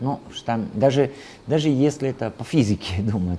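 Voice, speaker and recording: The speaker has an Italian accent, a moderate pace and ordinary pitch variation. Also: man. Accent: Italian accent in Russian. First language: Italian (speaking Russian). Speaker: translator and Italian teacher. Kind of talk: interview. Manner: halting, with many fillers.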